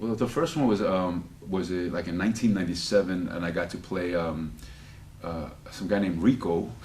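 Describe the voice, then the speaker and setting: In audible room echo, a man with a slight Spanish accent speaks at a fairly quick pace with a very deep, low pitch and ordinary pitch variation. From United States. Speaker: actor. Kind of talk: interview. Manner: halting, many repetitions; animated.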